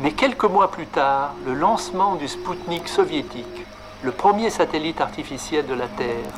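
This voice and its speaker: A man speaks at a fairly slow pace with lively intonation over noticeable background noise. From France, Lyon. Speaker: mathematician. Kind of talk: prepared speech.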